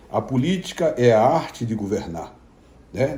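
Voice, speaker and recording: A man's somewhat breathy voice sits at a medium pitch with a dark, mellow tone. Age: 60s. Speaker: pastor. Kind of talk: informal video message to followers. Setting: at home.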